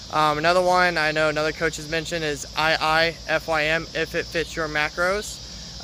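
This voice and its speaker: A man speaks with a fairly high voice. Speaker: fitness coach. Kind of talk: live stream Q&A. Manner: fast; halting, many fillers.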